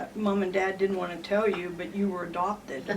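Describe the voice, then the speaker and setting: A woman's monotone, flat delivery amid noticeable background noise and audible room echo. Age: 70s. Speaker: author interviewing a family friend. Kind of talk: casual interview.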